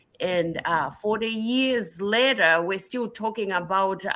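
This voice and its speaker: A woman with a Southern African accent speaks fairly slowly at a medium pitch with ordinary pitch variation. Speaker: nurse practitioner and researcher. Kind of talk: interview. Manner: halting, many fillers.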